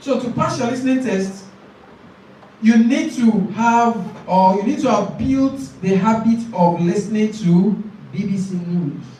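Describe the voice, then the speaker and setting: A Nigerian accent amid noticeable background noise. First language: Nigerian language. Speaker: IELTS tutor. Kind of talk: lecture. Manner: not fast, careful word choice.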